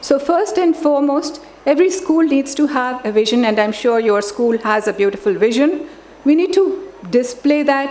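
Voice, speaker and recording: A woman with a Telugu accent, high-pitched and lively in intonation, at a moderate pace amid noticeable background noise. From grew up in many countries, Indian family. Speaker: education expert, chief guest. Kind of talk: formal speech. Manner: formal.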